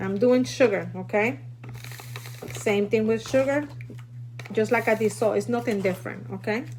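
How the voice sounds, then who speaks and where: A woman speaks at a moderate pace with a Puerto Rican accent, leaving long, frequent pauses. Noticeable background noise runs underneath. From Puerto Rico. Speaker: food prepping teacher. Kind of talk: live stream tutorial. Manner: casual, chatty.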